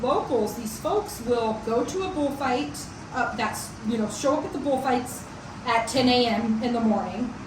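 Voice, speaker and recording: Noticeable background noise and audible room echo around a woman's high voice. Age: 40s. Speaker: vlogger. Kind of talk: casual chat. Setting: chat over coffee.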